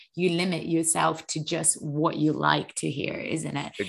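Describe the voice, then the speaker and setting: The woman's fairly low voice comes through against a quiet background. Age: 20s. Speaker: fitness podcast host. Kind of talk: casual chat.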